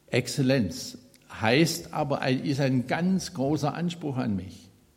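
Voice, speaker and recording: The man's voice is somewhat breathy and fairly high, at a very slow pace. Audible room echo surrounds it. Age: 70s. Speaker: lay preacher. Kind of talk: sermon. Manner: halting, with fillers and repetitions.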